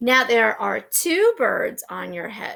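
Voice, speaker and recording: Using a put-on character voice, a woman speaks at a fairly slow pace on a very clean recording with a silent background. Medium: read story. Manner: calm, plain.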